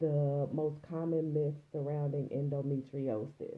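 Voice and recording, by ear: Some room echo surrounds a woman who speaks at a fairly slow pace.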